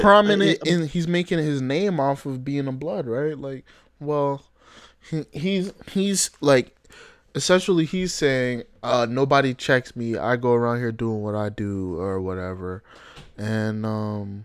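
The speech goes very slowly, with very wide swings in pitch. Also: man, medium pitch for a man. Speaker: podcast host. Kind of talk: casual slang, profane.

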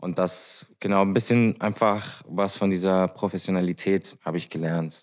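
On a very clean recording with a silent background, a man speaks in a very deep, low pitch. His intonation is monotone and flat, at a moderate pace with hardly any pauses. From Germany, Heidelberg. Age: 20s. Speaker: podcast co-host, sound engineer, musician. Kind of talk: casual chat.

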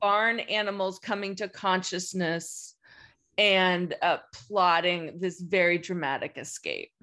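Over a quiet background, a woman talks very slowly at a medium pitch, her bright, sharp tone held in a monotone, flat intonation. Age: 50s. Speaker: film studies professor. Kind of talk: casual chat.

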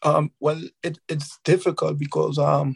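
The sound is dry and close with no echo as a man speaks at a fairly high pitch. His delivery is fairly slow, somewhat breathy and monotone, with flat intonation. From Trinidad and Tobago, Carenage. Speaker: professional footballer. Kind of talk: interview. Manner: halting, many fillers.

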